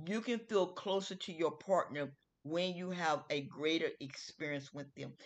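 Against a quiet background, a woman speaks at a fairly slow pace. She has an unremarkable speaking voice with a fairly low pitch and ordinary pitch variation. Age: 50s. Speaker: podcast host. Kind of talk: casual solo talk. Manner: casual, repetitive.

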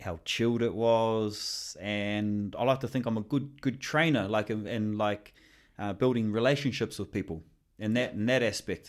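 At a moderate pace, a man with a New Zealand accent speaks at a fairly low pitch with ordinary pitch variation, on a very clean recording with a silent background. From New Zealand, Northland. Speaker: fitness coach. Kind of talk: casual chat.

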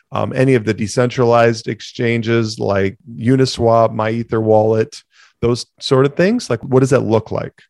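A man talks in a plain, everyday voice at medium pitch and a moderate pace, his intonation fairly even. The recording is very clean with a silent background, and the sound is dry and close with no echo. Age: 40s. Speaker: podcast host, entrepreneur. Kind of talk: casual monologue.

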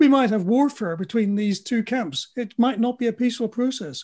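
On a very clean recording with a silent background, a man with a British accent speaks at a moderate pace in a dark, mellow tone. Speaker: futurologist and engineer. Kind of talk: interview.

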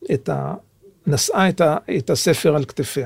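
This man talks at a moderate pace with ordinary pitch variation. His voice sits fairly high for a man. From Israel, Jerusalem. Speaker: author and translator, former intelligence service. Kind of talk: interview. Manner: halting.

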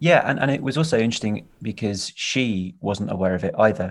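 The background is quiet. A man speaks in a British accent. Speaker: film director and actor. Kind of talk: casual interview chat.

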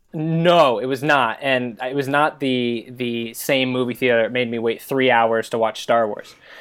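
Over noticeable background noise, a man with an American accent speaks at a medium pitch and fairly slow pace, with fairly even intonation and hardly any pauses. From US, Chesapeake, Virginia. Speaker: podcast guest, volunteer advocate. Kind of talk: casual chat.

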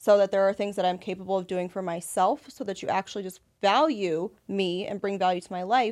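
A woman with a plain, everyday voice speaks at medium pitch and a fairly quick pace, with hardly any pauses and ordinary pitch variation. Her loudness swings widely on a very clean recording with a silent background. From Las Vegas, US. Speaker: women's empowerment group founder. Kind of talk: casual chat.

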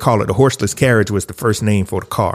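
In a very clean recording with a silent background, a man with a Southern US accent speaks at a fairly low pitch with fairly even intonation. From US South, rural South Carolina. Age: 30s. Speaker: technology consultant and researcher. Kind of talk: podcast interview.

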